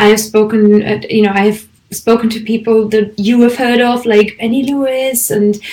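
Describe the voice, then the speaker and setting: Speaking at a moderate pace, a woman has a fairly high pitch and a German accent. Her intonation stays fairly even. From Germany. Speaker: language teacher and podcaster. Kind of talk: online conference presentation.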